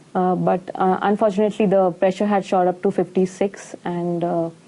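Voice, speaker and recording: Delivery comes at a moderate speed. Its intonation remains fairly even. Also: woman. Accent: Indian. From India. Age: 20s. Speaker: nutritionist. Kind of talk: patient testimonial.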